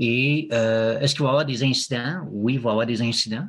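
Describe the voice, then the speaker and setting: Captured in a very clean recording against a silent background, a man with a Quebec accent speaks at a fairly slow pace with ordinary pitch variation. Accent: French Quebec accent, kept. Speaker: Quebec expat interviewee. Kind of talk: podcast interview. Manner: halting, many fillers.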